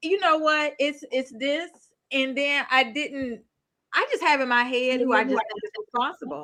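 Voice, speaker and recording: A woman speaks in a raised, projected voice that is bright and sharp. Her pitch is high, with ordinary variation, and her pace is moderate. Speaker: true crime youtuber. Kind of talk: casual chat.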